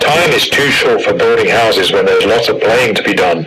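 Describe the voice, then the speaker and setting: Over clear background noise, a man talks at a fairly quick pace in a put-on character voice. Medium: read story.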